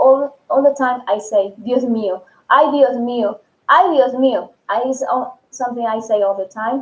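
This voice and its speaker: A woman speaks in a Spanish accent at a high pitch. Her pace is fairly slow and her pitch varies in an ordinary way. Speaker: Spanish teacher. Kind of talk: live stream tutorial. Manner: halting.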